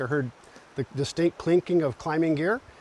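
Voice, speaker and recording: Recorded dry and close with no echo, a man speaks at a fairly quick pace in a normal speaking voice with fairly even intonation. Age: 60s. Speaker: rock climber. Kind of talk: interview.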